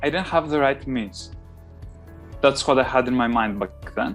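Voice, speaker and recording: Over music in the background, a man with a non-native accent speaks at a moderate pace, his pitch fairly high and his intonation lively. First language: not English. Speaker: GMAT test taker. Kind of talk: interview answer.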